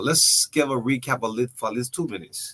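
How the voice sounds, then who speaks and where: With a bright, sharp tone, a man talks at a fairly quick pace with ordinary pitch variation. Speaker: radio host. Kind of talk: radio interview.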